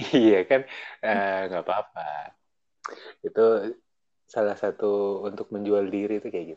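A man with a fairly low voice speaks with big swings in loudness and long, frequent pauses. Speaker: radio announcer. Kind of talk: casual chat. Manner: animated. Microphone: choppy connection.

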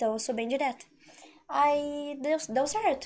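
A woman's high voice with ordinary pitch variation over noticeable background noise. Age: 20s. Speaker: content creator. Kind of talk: casual chat.

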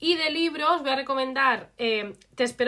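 A woman's bright, sharp voice with lively intonation at a moderate pace. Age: 20s. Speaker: podcast co-host. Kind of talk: casual chat.

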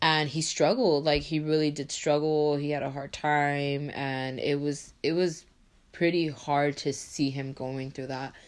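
Her pitch very deep and low, a woman speaks in a flat monotone at a fairly slow pace. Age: 20s. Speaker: podcast host, college student. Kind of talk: solo podcast monologue. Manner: casual, filler-heavy.

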